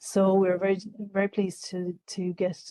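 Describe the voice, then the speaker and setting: A woman with an Irish accent speaks at a medium pitch in a dark, mellow, monotone, flat voice, recorded dry and close with no echo. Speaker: government official presenting a scheme. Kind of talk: information session presentation. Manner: fast; halting, many fillers.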